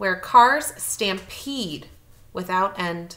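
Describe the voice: A woman speaks with lively intonation. Her tone is bright and sharp.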